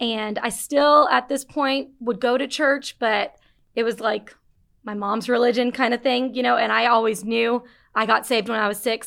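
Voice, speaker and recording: With an American accent and a plain, everyday voice, the speaker keeps a moderate pace and fairly even intonation on a very clean recording with a silent background. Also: woman, fairly high pitch for a woman. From Las Vegas, US. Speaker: church communications assistant. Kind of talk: testimony.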